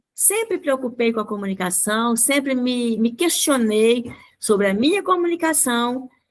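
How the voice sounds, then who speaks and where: Speaking fairly slowly with lively intonation, a woman with a high pitch is heard in a very clean recording with a silent background. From Brazil, rural Minas Gerais. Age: 70s. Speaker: speaker and educator. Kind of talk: radio interview.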